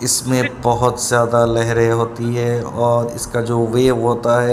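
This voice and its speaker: The recording carries audible room echo. A man talks over noticeable background noise. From Kolkata, India. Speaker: travel vlogger. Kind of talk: travel vlog narration. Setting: on a river boat, outdoors. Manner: casual, with hesitations.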